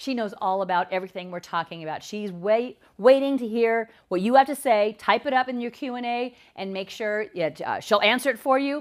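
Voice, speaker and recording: Loudness swings widely from moment to moment. The pace is fairly quick, with ordinary pitch variation. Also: woman, fairly high pitch for a woman. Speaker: nonprofit executive director. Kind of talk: live webinar presentation. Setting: live webinar on camera. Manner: fast.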